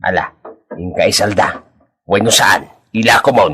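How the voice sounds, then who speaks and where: Sound effects play in the background as a man uses a raspy, put-on character voice. He keeps a medium pitch and a moderate pace. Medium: audio drama.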